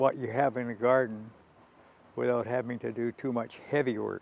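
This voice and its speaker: Male speaker, medium pitch. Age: 90s. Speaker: senior gardener. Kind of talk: documentary interview.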